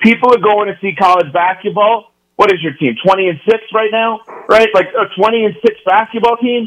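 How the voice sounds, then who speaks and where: Speaking at a moderate pace, a man with an American accent has a high pitch. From New York. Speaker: sports radio host. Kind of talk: radio interview.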